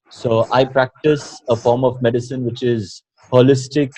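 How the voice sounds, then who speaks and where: This man's voice is somewhat breathy and medium in pitch, and he speaks at a fairly slow pace. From Karnataka, South India. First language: Kannada and Tulu. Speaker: doctor and mind-body coach. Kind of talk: interview. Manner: halting, many fillers.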